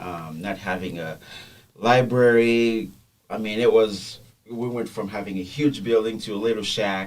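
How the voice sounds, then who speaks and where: In a Haitian accent, a man talks at a fairly slow pace with fairly low pitch and ordinary pitch variation. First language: Haitian Creole. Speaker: podcast guest. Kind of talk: personal testimony. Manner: halting, many fillers.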